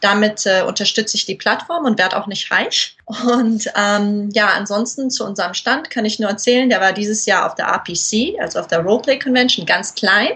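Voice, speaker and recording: A woman talks at a fairly high pitch with ordinary pitch variation and hardly any pauses. There is noticeable background noise. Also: moderate pace. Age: 20s. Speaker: model, cosplayer and platform founder. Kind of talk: casual interview.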